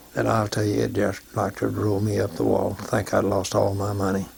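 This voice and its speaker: A man's fairly low-pitched voice with an Arkansas accent. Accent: Southern US (Arkansas). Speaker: war veteran. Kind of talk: oral history testimony.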